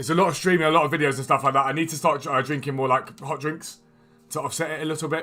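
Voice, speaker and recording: Music plays behind a man with a British accent who talks very fast in a fairly high pitch, his intonation flat and monotone. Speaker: gaming streamer. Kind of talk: live stream commentary. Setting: live stream. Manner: casual, chatty.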